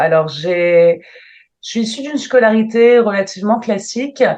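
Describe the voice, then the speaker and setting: A woman talks in an ordinary speaking voice. Her intonation is lively. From northern France, Lille. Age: 30s. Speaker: travel planner, entrepreneur. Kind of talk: interview.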